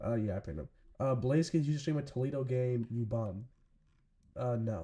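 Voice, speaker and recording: The recording is very clean, with a silent background. A man speaks in a dark, mellow tone that is somewhat breathy. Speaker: live-stream sports commentator. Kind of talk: live commentary. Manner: casual.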